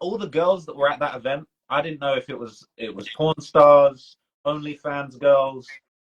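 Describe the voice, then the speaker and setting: A man with a British accent, at a fairly high pitch and a moderate pace. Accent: British accent, sounds non-Toronto. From UK. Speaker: livestream host, hip hop commentator. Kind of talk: casual chat on livestream. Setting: Instagram live stream. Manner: animated.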